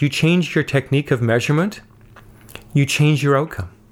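This man has an ordinary speaking voice with a fairly high pitch. He talks at a fairly quick pace. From north coast of British Columbia, Canada. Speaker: professor. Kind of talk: interview.

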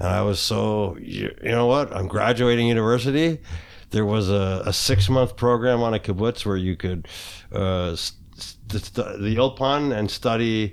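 A man's normal speaking voice with a Canadian accent, fairly low in pitch and fairly slow, with ordinary pitch variation, on a very clean recording with a silent background. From Kitchener, Ontario, Canada. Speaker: abuse survivor and hockey coach. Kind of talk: candid interview.

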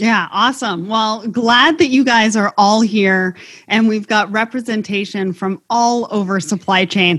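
Here is an unremarkable speaking voice from a woman, fairly high in pitch with ordinary variation. The recording is very clean, with a silent background. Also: fairly slow pace. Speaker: podcast host. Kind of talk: scripted intro then moderated panel discussion.

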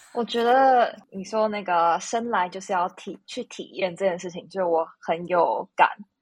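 A woman's normal speaking voice at medium pitch, fairly slow with hardly any pauses, ordinary pitch variation and big swings in loudness, against a quiet background. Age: 30s. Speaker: podcast guest. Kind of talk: casual chat.

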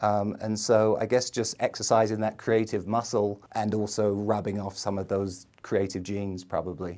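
A man's fairly low, dark and mellow voice with a London accent, flat and monotone, at a moderate pace with hardly any pauses. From London, England. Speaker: entrepreneur, video ad agency owner. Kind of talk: casual interview chat.

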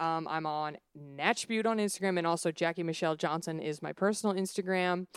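A woman with an American accent speaks fairly quickly in a fairly low pitch, with a dry, close sound and no echo. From Dallas, Texas. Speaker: comedian and beauty podcast host. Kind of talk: casual chat. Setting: video call. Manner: animated.

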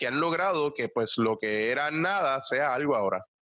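Moderate pace from a man with a fairly high pitch, a bright, sharp tone and ordinary pitch variation. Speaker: entrepreneur. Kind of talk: interview.

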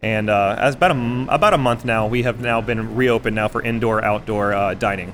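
In a plain, everyday voice with an American accent, a man speaks at a fairly quick pace and medium pitch, with fairly even intonation and hardly any pauses. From Texas. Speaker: restaurant chef. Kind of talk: interview. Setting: live outdoor food event.

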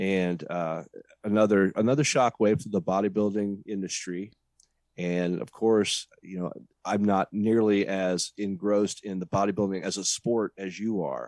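Recorded very cleanly against a silent background, with a dry, close sound and no echo, a man with an unremarkable speaking voice talks at a moderate pace in a fairly low voice. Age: 40s. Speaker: podcast host. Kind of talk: casual chat.

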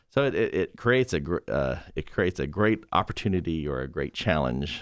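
A man with vocal fry talks at a moderate pace with lively intonation. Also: very clean recording, silent background. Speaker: auto paint company businessman. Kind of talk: casual panel chat. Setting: radio studio.

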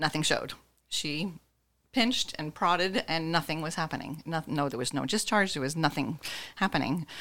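The voice has a bright, sharp tone and ordinary pitch variation at a moderate pace. The recording is very clean, with a silent background. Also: woman, very deep, low pitch for a woman. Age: 50s. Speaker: breast cancer survivor. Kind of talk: interview testimony.

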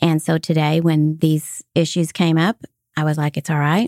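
A woman speaks at a moderate pace in a very deep, low pitch with monotone, flat intonation. The sound is dry and close with no echo, on a very clean recording with a silent background. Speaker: sales podcast co-host. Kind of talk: casual chat.

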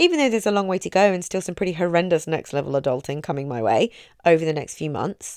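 A woman with an English accent and lively intonation, on a very clean recording over a silent background. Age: 30s. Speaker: mindset coach and podcast host. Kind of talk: motivational talk. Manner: warm, chatty.

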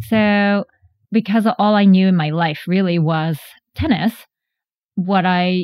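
A woman's fairly low-pitched voice with a Japanese accent and ordinary pitch variation. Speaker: tech company founder and CEO. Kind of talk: interview.

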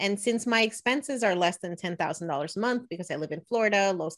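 A woman with an American accent uses an ordinary speaking voice at a medium pitch with lively intonation, recorded very cleanly against a silent background. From New Jersey, US. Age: 30s. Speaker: money blogger and podcaster. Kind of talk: interview.

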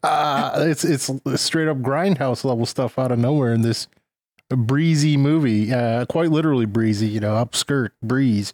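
In a dry, close sound with no echo, a man with an unremarkable speaking voice talks at a moderate pace and medium pitch, with very even loudness and ordinary pitch variation. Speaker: podcast co-host. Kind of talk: casual chat.

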